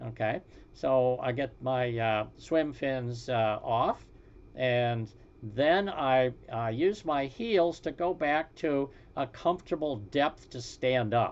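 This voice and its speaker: A man speaks at a very slow pace in a medium pitch, with ordinary pitch variation. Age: 80s+. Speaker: retired fly fishing presenter. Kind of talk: tutorial presentation. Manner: halting, many fillers.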